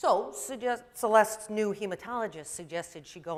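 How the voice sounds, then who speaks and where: Her intonation is lively. She talks at a fairly quick pace. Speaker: primary care pediatrician. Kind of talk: presentation talk. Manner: loud.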